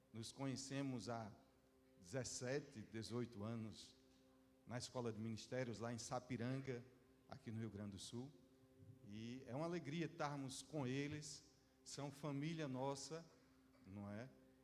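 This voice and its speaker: There is audible room echo as a man speaks at a fairly slow pace with long, frequent pauses. His pitch is medium, with ordinary pitch variation. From Northeast Brazil (João Pessoa, Paraíba). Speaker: visiting pastor. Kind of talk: sermon. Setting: church service.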